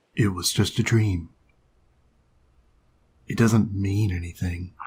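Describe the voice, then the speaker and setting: A man's put-on character voice, fairly low in pitch and fairly slow in pace. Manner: reserved, calm.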